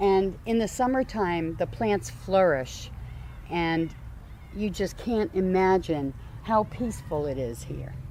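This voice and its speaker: A woman speaks with a New Jersey accent. She talks at a very slow pace. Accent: New Jersey American. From New Jersey, US. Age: 60s. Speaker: community garden founder. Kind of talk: interview. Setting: outdoors.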